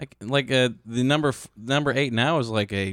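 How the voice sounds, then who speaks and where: A man with an American accent and a plain, everyday voice at medium pitch, ordinary pitch variation, a moderate pace and a dry, close sound with no echo. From Chicago. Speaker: comedian and podcast producer. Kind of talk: casual chat. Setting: studio.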